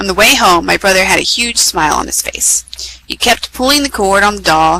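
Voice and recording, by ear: Someone reads aloud in a natural voice, the intonation moving in a lively way.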